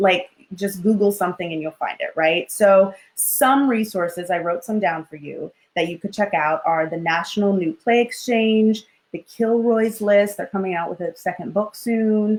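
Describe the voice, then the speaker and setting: In an animated tone, a woman with a medium pitch talks at a moderate pace with ordinary pitch variation. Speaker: acting coach. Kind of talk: online class. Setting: live stream.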